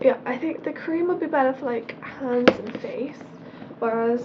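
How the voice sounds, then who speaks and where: A woman speaks with a British accent. Noticeable background noise is present. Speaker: beauty vlogger. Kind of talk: casual product review vlog.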